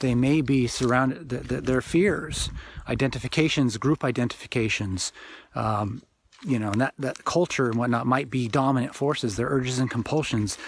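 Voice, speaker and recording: A man's medium-pitched voice moves at a moderate pace, its pitch varying in an ordinary way. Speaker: author and spiritual teacher. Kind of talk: informal spiritual talk. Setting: outdoors. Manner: loud; halting, with repetitions.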